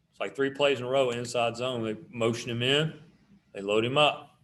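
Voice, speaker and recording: With fairly even intonation, a man in an American accent speaks at a medium pitch and a moderate pace. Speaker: high school football coach. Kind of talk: tutorial. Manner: casual, conversational.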